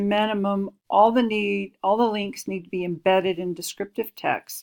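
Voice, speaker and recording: A woman with a normal speaking voice talks at a moderate pace and medium pitch, with hardly any pauses. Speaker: instructional designer giving course review feedback. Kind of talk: screen-recorded tutorial. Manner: casual.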